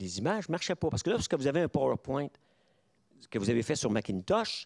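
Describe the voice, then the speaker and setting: A man speaks at a very fast pace with very wide pitch swings and vocal fry. The recording is very clean and silent behind him, with a dry, close sound and no echo. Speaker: professor. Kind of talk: lecture. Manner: halting.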